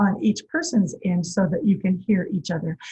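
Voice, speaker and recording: A somewhat breathy woman's voice with a dark, mellow tone. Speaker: early childhood music teacher. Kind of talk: tutorial. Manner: calm.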